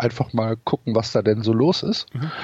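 This man's medium-pitched voice moves along at a moderate pace. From Cologne area, Germany. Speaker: football fan and podcaster. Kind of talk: casual interview. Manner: hesitant, many fillers.

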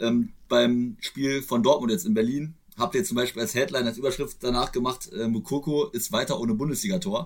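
At a fairly quick pace, a man with an unremarkable speaking voice talks at medium pitch with lively intonation. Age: 20s. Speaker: podcast host. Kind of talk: casual chat.

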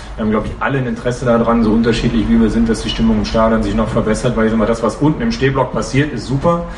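Against noticeable background noise and audible room echo, a man talks at a very fast pace with hardly any pauses. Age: 40s. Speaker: football fan representative. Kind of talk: podcast interview. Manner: hesitant with many fillers.

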